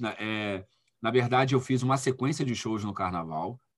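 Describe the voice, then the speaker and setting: A man with an ordinary speaking voice and a fairly low pitch talks at a fairly slow pace in a very clean recording with a silent background. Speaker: music producer and DJ. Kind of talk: interview.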